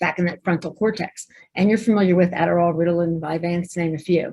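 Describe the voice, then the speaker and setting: At a fairly quick pace, a woman talks in a somewhat breathy voice with an East Coast US accent. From New Jersey. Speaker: pediatrician. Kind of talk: webinar presentation. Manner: fast; animated.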